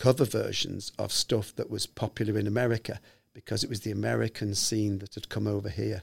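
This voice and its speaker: The voice shows vocal fry at a moderate pace in a very clean recording with a silent background. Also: man. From Liverpool, England. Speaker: musician and songwriter. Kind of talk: interview, recounting stories. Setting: studio.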